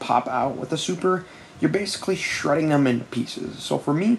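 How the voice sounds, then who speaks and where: Quiet speech at a fairly quick pace, with noticeable background noise. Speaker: gaming youtuber. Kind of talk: casual commentary video. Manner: quiet, late at night; fast.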